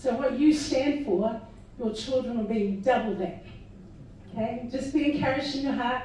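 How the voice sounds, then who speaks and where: In a room with audible echo, a woman speaks at a high pitch and a moderate pace with ordinary pitch variation. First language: not English. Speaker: party candidate / political speaker. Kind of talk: political rally speech.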